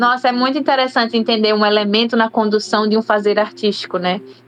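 With noticeable background noise behind it, the talking runs at a fairly quick pace. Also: woman. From Brazil, Aracaju, Sergipe. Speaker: singer. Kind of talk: radio interview.

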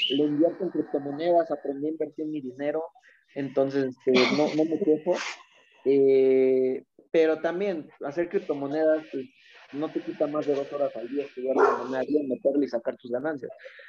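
In a normal speaking voice, a man speaks at a fairly high pitch and a moderate pace with fairly even intonation. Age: 20s. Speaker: former youth footballer. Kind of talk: casual interview chat.

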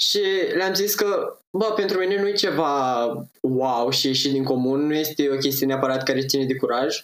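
Keeping his loudness very even, a man with a fairly high pitch speaks at a moderate pace with lively intonation. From Moldavia region, Romania (Roman). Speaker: blogger and amateur actor. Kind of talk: casual chat.

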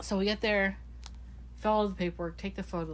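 A woman speaks at a very fast pace. Audible room echo surrounds her voice. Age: 20s. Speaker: podcast co-host. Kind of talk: casual chat.

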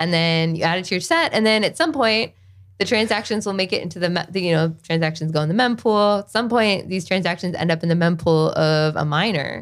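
A woman with a slight Southern US accent speaks at a fairly quick pace. The recording is very clean, with a silent background. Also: fairly low pitch for a woman, ordinary pitch variation. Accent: slight Southern twang. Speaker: software developer. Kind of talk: casual chat. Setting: studio.

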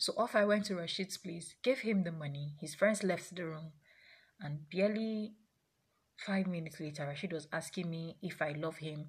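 On a very clean recording with a silent background, a woman speaks at a moderate pace in a somewhat breathy voice with ordinary pitch variation. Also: fairly low pitch for a woman. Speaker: sex therapist. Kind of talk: personal storytelling monologue.

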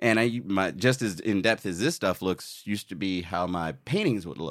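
In an American accent, a man with an unremarkable speaking voice talks at a moderate pace and fairly low pitch, his intonation lively, on a very clean recording with a silent background. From US Virgin Islands (Saint Croix). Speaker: illustrator and Navy veteran. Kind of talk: casual interview chat.

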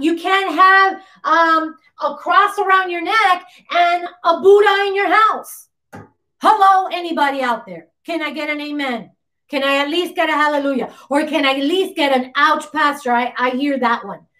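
In a raised, projected voice with a bright, sharp and stern tone, the speaker keeps a moderate pace. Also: woman, extremely high pitch for a woman, ordinary pitch variation. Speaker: pastor. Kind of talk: sermon. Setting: livestream on YouTube and Facebook; church. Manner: animated; insistent and stern, earnest.

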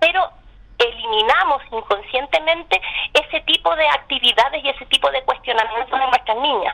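Her pitch is high and her intonation lively. The woman keeps to a moderate pace. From Chile. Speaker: scientist and academic. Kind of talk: radio interview. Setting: phone call.

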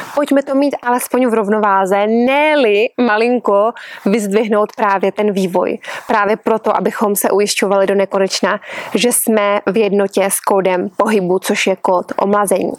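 Calm in tone, a woman speaks at a medium pitch and moderate pace with fairly even intonation and very even loudness. The sound is dry and close with no echo, though noticeable background noise is present. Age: 40s. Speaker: yoga teacher. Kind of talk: podcast monologue.

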